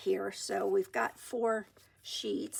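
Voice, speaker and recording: A woman speaks in a soft-spoken manner. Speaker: junk journal crafter. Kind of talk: crafting tutorial. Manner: hesitant, many fillers. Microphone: iPad built-in mic, no external mic.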